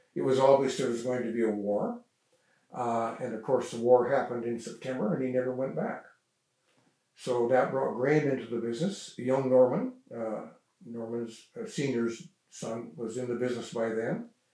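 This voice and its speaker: In a room with audible echo, a man at a medium pitch speaks at a moderate pace with fairly even intonation. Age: 80s+. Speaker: local elder sharing family history. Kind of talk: oral history interview. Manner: halting, many fillers.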